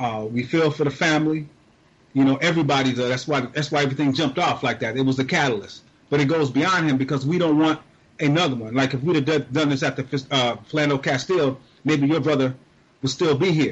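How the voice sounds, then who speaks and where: A man talks at a very fast pace in a fairly high, somewhat breathy voice with fairly even intonation. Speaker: guest activist, media campaigner. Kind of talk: interview about current events.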